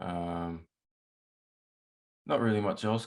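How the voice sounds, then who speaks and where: On a very clean recording with a silent background, a man with an Australian accent speaks in a very deep, low voice with fairly even intonation. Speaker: musician and producer. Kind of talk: casual interview chat.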